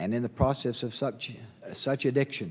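A man talks at a moderate pace. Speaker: speaker. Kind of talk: sermon. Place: hall. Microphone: podium.

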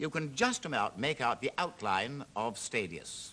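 A man talks with vocal fry and very wide swings in pitch. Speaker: TV presenter. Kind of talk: commentary. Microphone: old recording.

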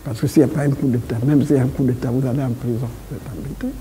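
A man talks fast at a medium pitch with a dark, mellow tone. His intonation stays fairly even, and vocal fry creeps in.

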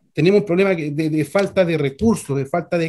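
A man's high voice with a dark, mellow tone at a moderate pace. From Constitución, Maule region, Chile. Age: 50s. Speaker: mechanic, trucker and council candidate. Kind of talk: political candidate interview. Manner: halting, many fillers.

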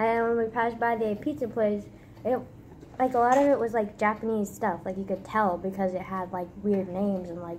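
At a fairly quick pace, a woman speaks with ordinary pitch variation over light background noise. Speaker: vlogger. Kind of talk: casual vlog chat. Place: kitchen. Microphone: phone near.

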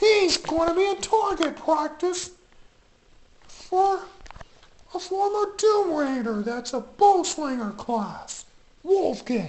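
With an extremely high pitch, the speaker goes at a very slow pace, broken by long, frequent pauses. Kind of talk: comic toy parody show. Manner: upbeat, announcing.

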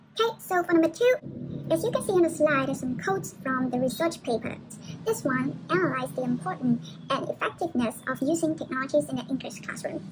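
Noticeable background noise sits behind a woman who speaks at a fairly quick pace. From Vietnam. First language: Vietnamese. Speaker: university student. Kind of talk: presentation. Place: home room. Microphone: webcam.

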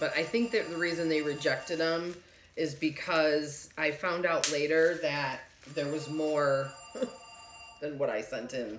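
A woman with a very deep, low pitch and ordinary pitch variation speaks at a fairly slow pace amid light background noise and audible room echo. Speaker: reseller vlogger. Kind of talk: casual vlog chat. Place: home room. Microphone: phone near.

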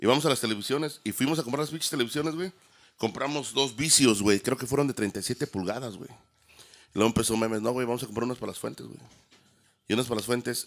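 A man at a very fast pace, with big swings in loudness and ordinary pitch variation. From Mexico, San Luis Potosí. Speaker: DJ and audio production business owner. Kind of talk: casual chat. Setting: studio. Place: studio. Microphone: studio mic.

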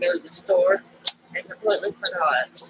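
A woman's nasal voice, fairly low in pitch and fairly bright in tone, with a husky, rough edge, ordinary pitch variation and a moderate pace, in a dry, close sound with no echo

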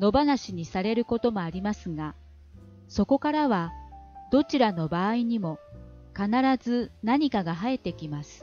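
With music in the background, the voice has a Kansai accent and very wide pitch swings, recorded with a dry, close sound and no echo. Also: woman. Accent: Kansai-tinged Japanese intonation. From Kansai, Japan. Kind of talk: audiobook reading of a self-help book.

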